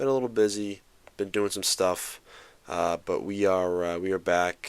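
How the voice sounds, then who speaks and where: A quiet man with a very deep, low voice at a moderate pace, on a very clean recording with a silent background. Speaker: sports podcast host. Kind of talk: casual solo podcast. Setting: at home late at night, on camera. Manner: quiet, keeping voice down; halting, many fillers.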